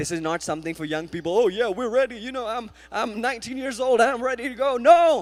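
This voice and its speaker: An animated man in an Indian accent, with an extremely high pitch and very wide pitch swings. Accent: Indian accent, noticeable. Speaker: guest preacher. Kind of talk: sermon. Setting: church. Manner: animated, exhortative.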